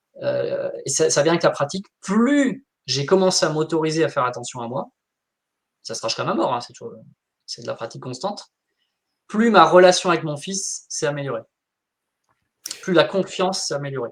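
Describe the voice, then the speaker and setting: A man with a high pitch sounds animated, his intonation lively, his loudness swinging widely, and his pauses long and frequent. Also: moderate pace. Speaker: wellbeing coach. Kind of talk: live interview.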